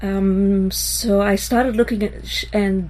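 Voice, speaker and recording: A woman's voice amid noticeable background noise. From Israel. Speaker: textile artist and math professor. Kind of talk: interview. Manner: hesitant, many fillers.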